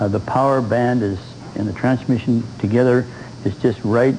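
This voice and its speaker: There is noticeable background noise throughout. The man's intonation stays fairly even. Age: 70s. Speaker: motorcycle enthusiast. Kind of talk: TV interview.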